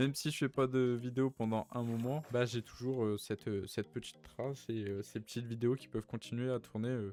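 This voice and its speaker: This man has a medium pitch and a dark, mellow tone, speaking at a fairly quick pace with hardly any pauses. His intonation is fairly even, and the sound is dry and close with no echo. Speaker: YouTuber and gamer. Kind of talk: casual chat. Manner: stammering, halting.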